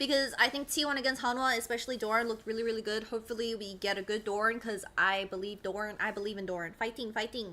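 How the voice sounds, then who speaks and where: Loud and animated, a woman talks at a very fast pace. Her tone is bright and sharp, with ordinary pitch variation. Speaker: esports streamer. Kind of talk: casual live stream chat.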